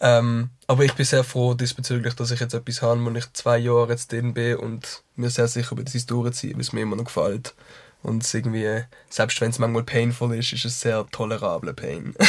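A man talks at a medium pitch, somewhat breathy, with monotone, flat intonation. The recording is very clean, with a silent background. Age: 20s. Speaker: musician. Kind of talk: casual chat. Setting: studio. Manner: fast.

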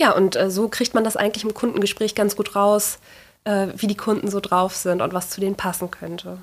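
The delivery keeps a moderate pace with monotone, flat intonation. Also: woman. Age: 30s. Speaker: furniture restorer and workshop owner. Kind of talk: interview.

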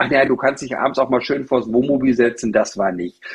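A man talks at a fairly quick pace. He has a plain, everyday voice of medium pitch. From Germany, Teutoburg Forest (East Westphalia). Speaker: utility company employee and motorhome traveller. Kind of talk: casual chat.

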